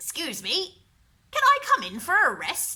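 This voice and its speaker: The voice is pitched extremely high for a woman. She is doing a put-on character voice. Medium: read story. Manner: repetitive croaking.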